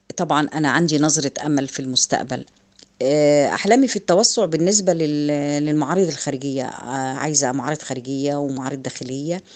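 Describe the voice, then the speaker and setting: At a moderate pace, a woman speaks at a very deep, low pitch with ordinary pitch variation. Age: 50s. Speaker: artisan business owner. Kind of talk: testimony.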